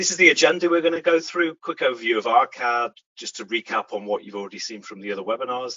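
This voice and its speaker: The speaker has a British accent and talks very fast with hardly any pauses. The loudness swings widely. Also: man, medium pitch for a man, lively intonation. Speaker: software company director, presenter. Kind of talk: webinar presentation. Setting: webcast with screen sharing.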